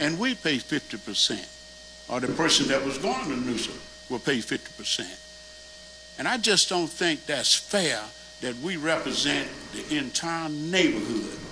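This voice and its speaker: A man with lively intonation, long and frequent pauses, and noticeable background noise. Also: fairly high pitch for a man, moderate pace. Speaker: neighborhood association officer. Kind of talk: public meeting comment. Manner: animated; loud. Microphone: far from the mic, not working.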